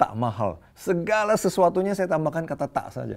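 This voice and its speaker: A plain, everyday voice moves at a moderate pace. Its intonation is lively. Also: man. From Indonesia, Medan then Jakarta. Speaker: preacher. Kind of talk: sermon. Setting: online church service.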